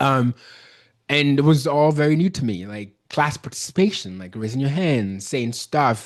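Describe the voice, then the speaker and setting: Against a quiet background, a man with a Nigerian accent speaks at a moderate pace in a medium pitch with lively intonation. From Nigeria, Benin City. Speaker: business consultant. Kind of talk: interview. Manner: casual, halting with false starts.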